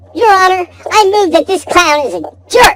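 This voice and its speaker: A squeaky put-on character voice at an extremely high pitch and a moderate pace. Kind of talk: courtroom speech. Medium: audio drama. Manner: pompous, self-righteous.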